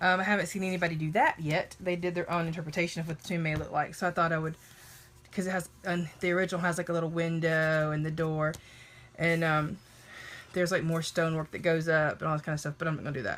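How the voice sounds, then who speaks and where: A woman with a fairly low voice speaks very fast in a monotone, flat intonation. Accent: Southern US. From US South. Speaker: Bible art journaling creator. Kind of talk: casual livestream craft chat. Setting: live video stream.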